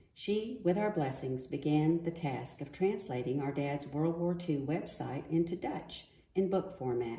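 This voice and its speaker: Speaking with an American accent, a woman with a dark, mellow, somewhat breathy voice and fairly low pitch moves at a fairly slow pace with lively intonation. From US. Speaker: daughter of a war veteran. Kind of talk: prepared reading.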